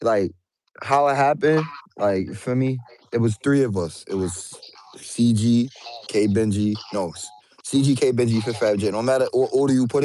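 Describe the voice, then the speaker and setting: A man speaks with a New York accent at a moderate pace. His pitch is medium, with ordinary variation. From Brooklyn, New York. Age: 20s. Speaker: rapper. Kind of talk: casual interview.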